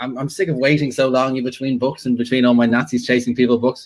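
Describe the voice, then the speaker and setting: This man speaks with an Irish accent. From Ireland. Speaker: World War Two fiction author. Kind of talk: casual chat.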